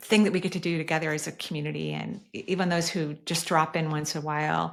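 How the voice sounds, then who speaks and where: Speech comes at a very fast pace with fairly even intonation. Noticeable background noise sits behind it. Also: woman. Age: 60s. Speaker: energy healer and podcast host. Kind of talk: podcast Q&A answering voicemail questions.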